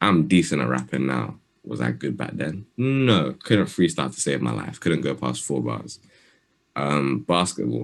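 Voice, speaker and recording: A man with a London accent speaks at a moderate pace with lively intonation. His pitch is very deep and low, with vocal fry. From London, England. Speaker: rapper. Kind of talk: interview. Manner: soft-spoken.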